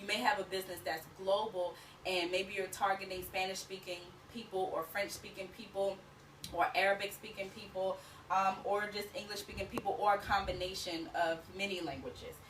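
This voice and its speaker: Noticeable background noise is present while someone talks at a fairly quick pace. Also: woman. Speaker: business coach for work-from-home moms. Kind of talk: tutorial. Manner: fast; animated.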